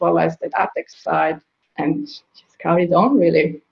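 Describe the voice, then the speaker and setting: A woman with an Italian accent speaks at a fairly slow pace. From Italy (small village, northeast). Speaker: digital marketing consultant, business founder. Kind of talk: interview. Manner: halting.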